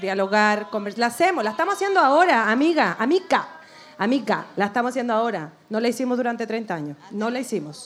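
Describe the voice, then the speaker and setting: A woman at a very fast pace and fairly high pitch, with noticeable background noise. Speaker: political activist. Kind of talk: live podcast discussion. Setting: stage with audience.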